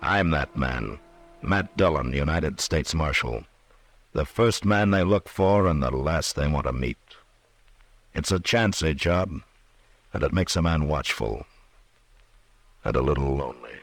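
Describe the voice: Using a put-on character voice at an extremely low pitch, a man talks at a fairly slow pace with lively intonation and long, frequent pauses.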